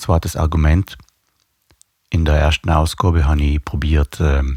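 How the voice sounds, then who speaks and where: A man with a South Tyrolean accent speaks at a fairly slow pace in a very deep, low voice, his intonation fairly even and the sound dry and close with no echo. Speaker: bass player and video blogger. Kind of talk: casual video blog talk. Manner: hesitant, many fillers.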